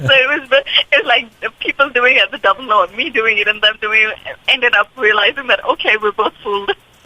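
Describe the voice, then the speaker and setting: A woman speaks with an American accent at a high pitch and a fairly quick pace, with ordinary pitch variation and hardly any pauses. Noticeable background noise is present. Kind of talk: radio interview.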